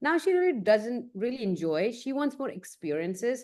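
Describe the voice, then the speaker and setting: A woman with an Indian accent, lively intonation and a moderate pace against a quiet background. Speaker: photographer. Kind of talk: casual chat.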